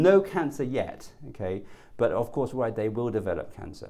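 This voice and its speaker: A man at a medium pitch talks at a fairly quick pace with lively intonation. His tone is dark and mellow, with audible room echo. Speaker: oncologist. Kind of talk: lecture. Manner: fast.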